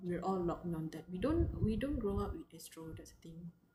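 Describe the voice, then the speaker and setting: A woman speaks with a Malaysian accent. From Malaysia, Johor. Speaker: livestreamer. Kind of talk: casual chat.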